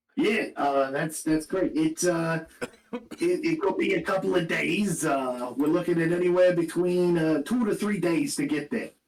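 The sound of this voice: A man's put-on character voice, high-pitched and raspy, at a moderate pace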